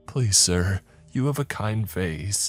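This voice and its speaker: Faint music plays in the background. The speaker uses a put-on character voice. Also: man. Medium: read story. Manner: fearful, pleading.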